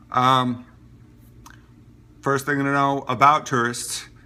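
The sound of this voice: Slow and in a bright, sharp tone, a man with an American accent talks at a medium pitch.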